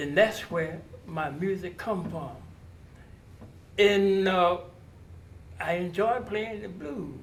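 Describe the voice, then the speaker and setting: A man with a high pitch and ordinary pitch variation speaks at a very slow pace, with long, frequent pauses. Audible room echo and noticeable background noise accompany him. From US South (North Carolina, Durham). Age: 80s+. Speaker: blues musician. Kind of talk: interview. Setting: outdoors on location.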